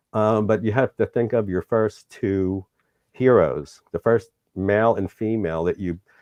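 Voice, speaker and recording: Speaking with an American accent, a man keeps a fairly even intonation. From New York City, Manhattan. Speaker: tarot reader and shop owner. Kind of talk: interview.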